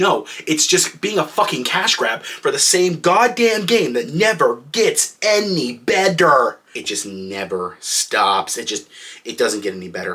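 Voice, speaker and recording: Speaking at a fairly slow pace with hardly any pauses, a man lets his loudness swing widely. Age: 20s. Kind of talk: comedic rant. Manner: exasperated, profane.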